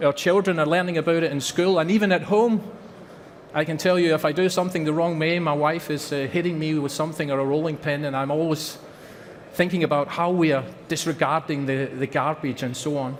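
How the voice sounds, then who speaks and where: This man has a Scottish accent and a fairly high pitch. He talks at a fairly quick pace with fairly even intonation. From Scotland. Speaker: company representative. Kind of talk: conference presentation.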